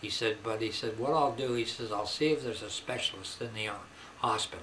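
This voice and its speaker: A man at a medium pitch and moderate pace, with ordinary pitch variation, over noticeable background noise. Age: old. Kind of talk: personal testimony to camera. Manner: halting, conversational.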